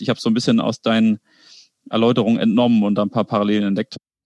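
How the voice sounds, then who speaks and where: A man talks at a very fast pace with ordinary pitch variation. The sound is dry and close, with no echo. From Kiel, northern Germany. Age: 20s. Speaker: entrepreneur, bicycle company co-founder. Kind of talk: casual interview conversation. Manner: frequent filler sounds (äh).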